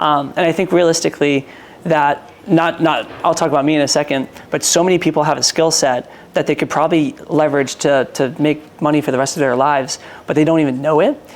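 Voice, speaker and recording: Over noticeable background noise, a man talks at a fairly quick pace with a fairly high pitch, fairly even intonation and very even loudness. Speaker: entrepreneur and sales consultant. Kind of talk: casual interview chat.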